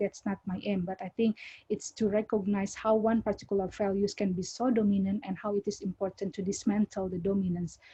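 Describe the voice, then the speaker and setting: Breathing somewhat audibly, a woman speaks at medium pitch. Her intonation is monotone and flat. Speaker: academic. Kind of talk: academic Q&A answer. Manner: halting, many repetitions and fillers.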